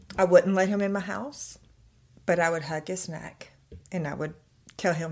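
At a moderate pace, a woman with a fairly low pitch, vocal fry and ordinary pitch variation speaks with long, frequent pauses and big swings in loudness. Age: 40s. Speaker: content creator. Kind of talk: personal testimony.

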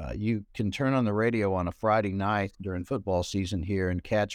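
A man speaks with a Southern US accent at a fairly low pitch. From US South, southwest Arkansas. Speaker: newspaper columnist and author. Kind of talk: casual interview.

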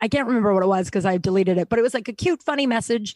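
On a very clean recording with a silent background and a dry, close sound with no echo, a woman with a fairly high pitch speaks with lively intonation. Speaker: comedian and author. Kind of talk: casual chat.

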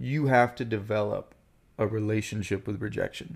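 This is a normal speaking voice from a man at a medium pitch. He keeps a moderate pace and ordinary pitch variation. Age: 30s. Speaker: actor. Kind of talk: casual chat.

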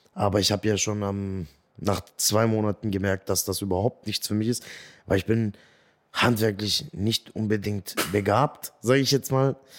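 In a very clean recording with a silent background and a dry, close sound with no echo, a man with an unremarkable speaking voice speaks at a moderate pace in a fairly low pitch, with ordinary pitch variation. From Swabia, Germany. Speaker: comedian. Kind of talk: interview. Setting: studio.

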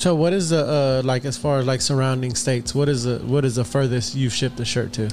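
At a very fast pace, a man with an American accent speaks at medium pitch with ordinary pitch variation over noticeable background noise. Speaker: podcast host. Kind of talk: casual chat. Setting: studio. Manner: animated.

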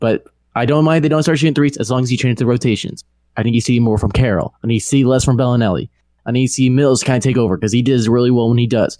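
A man's medium-pitched voice, dark and mellow in tone, very even in loudness, at a very fast pace. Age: 20s. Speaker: sports podcaster and fan. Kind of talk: casual chat. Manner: animated.

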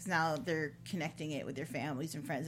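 Vocal fry runs through this speech, which comes at a fairly quick pace. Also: woman. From Chicago area. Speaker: podcast host. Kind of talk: interview. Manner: animated, laughs often.

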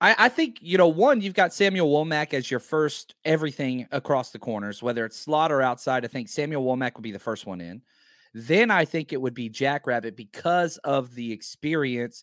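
In a Texan accent, a man speaks at a moderate pace with lively intonation, recorded very cleanly against a silent background with a dry, close sound and no echo. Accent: Southern US (Texan). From Texas. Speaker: former football coach, analyst. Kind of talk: casual sports analysis.

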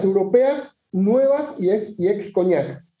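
Talking at a very slow pace, a man uses a high pitch with very wide pitch swings. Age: 40s. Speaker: whisky enthusiast guest. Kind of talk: casual chat.

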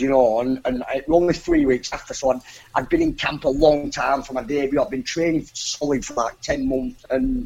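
A man's fairly high voice at a fairly quick pace, with fairly even intonation and hardly any pauses. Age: 20s. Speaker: professional boxer. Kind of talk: interview. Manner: halting, repeats words.

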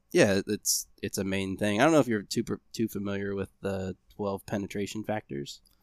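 In a plain, everyday voice with an American accent, the speaker moves at a moderate pace with ordinary pitch variation and hardly any pauses, on a very clean recording with a silent background. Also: man, fairly low pitch for a man. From Ohio, US. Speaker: podcast host, bow technician. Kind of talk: casual chat.

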